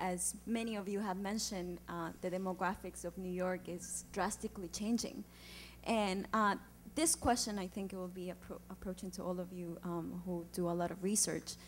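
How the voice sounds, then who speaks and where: Speaking at a moderate pace with an Andean accent, a woman uses a medium pitch, fairly even intonation and a somewhat breathy voice. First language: Quechua. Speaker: community organizer, audience questioner. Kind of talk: audience question at panel event. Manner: halting, many fillers.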